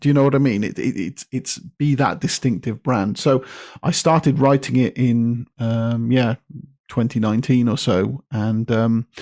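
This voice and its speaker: A man with a British accent speaks in a dark, mellow tone. The recording is very clean, with a silent background and a dry, close sound with no echo. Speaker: copywriter and author. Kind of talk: podcast interview.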